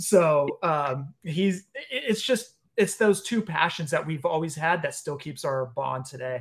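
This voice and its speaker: With an American accent and an ordinary speaking voice, a man with a fairly high pitch talks at a fairly slow pace, with lively intonation and hardly any pauses. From US West Coast, San Leandro, California. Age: 40s. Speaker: wrestling figure podcast host. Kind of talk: casual chat.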